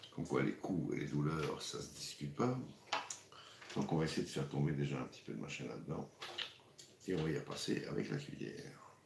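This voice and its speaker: At a very deep, low pitch with vocal fry, a man speaks at a fairly quick pace with lively intonation and long, frequent pauses. Audible room echo is present. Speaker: cooking show host. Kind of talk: live cooking stream. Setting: livestream. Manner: casual, hesitant with repetitions.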